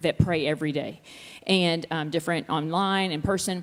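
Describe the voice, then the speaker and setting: A woman with a Texas accent, fairly low pitch, ordinary pitch variation and a fairly quick pace. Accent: Texas Southern. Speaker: worship leader. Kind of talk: interview. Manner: fast; animated.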